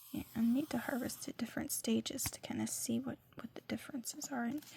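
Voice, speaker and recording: A soft-spoken woman talks at a fairly quick pace. Noticeable background noise runs under her voice. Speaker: ASMR creator. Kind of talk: ASMR catalog read-through with casual commentary.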